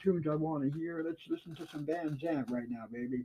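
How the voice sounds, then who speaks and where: Speaking very fast, a man uses a fairly high pitch and lively intonation. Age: 60s. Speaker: amateur livestream host. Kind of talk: casual monologue. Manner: animated.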